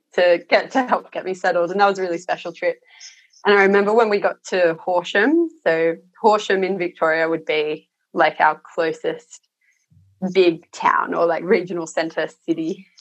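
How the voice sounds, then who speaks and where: A woman with an Australian accent, medium in pitch, at a moderate pace with fairly even intonation. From Australia, Sydney (Cronulla). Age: 30s. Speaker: sheep and lentil farmer. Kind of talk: casual interview chat.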